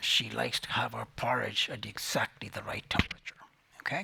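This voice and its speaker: A man whispering at a fairly quick pace over noticeable background noise. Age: 80s+. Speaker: climate scientist. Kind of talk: prize lecture. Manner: hesitant, many filler sounds.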